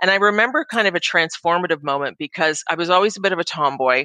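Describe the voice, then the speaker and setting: A woman with a Canadian accent, a bright, sharp tone and a fairly low pitch, at a very fast pace, in a dry, close recording with no echo. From Ontario, Canada. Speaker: business executive. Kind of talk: interview.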